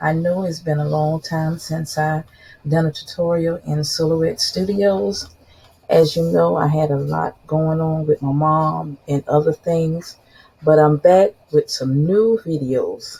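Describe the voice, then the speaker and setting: In a South Carolina accent, a woman talks at a fairly slow pace with a very deep, low pitch, a somewhat breathy voice and fairly even intonation. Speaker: crafting YouTuber. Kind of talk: tutorial. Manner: casual, chatty.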